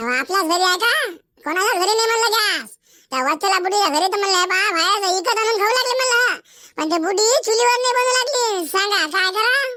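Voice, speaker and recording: A woman's cartoonish character voice at an extremely high pitch, with lively intonation, a moderate pace and very even loudness. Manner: scolding, complaining.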